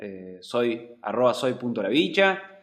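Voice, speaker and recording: Very wide pitch swings mark this man's medium-pitched voice, heard with audible room echo. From Argentina. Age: 30s. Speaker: vlogger. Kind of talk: personal vlog monologue. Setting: home, talking to computer camera. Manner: halting.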